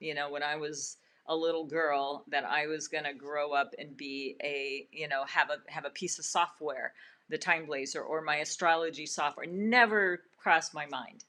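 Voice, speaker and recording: A woman's very deep, low voice with a bright, sharp tone, fairly slow pace and ordinary pitch variation. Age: 60s. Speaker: feng shui and astrology consultant, webinar host. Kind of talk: live webinar wrap-up. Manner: many filler words and repetitions.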